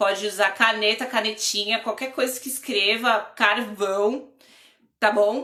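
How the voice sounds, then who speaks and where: A woman has an ordinary speaking voice with a fairly high pitch. Her pace is fairly slow. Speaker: drawing and lettering teacher. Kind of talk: live online class.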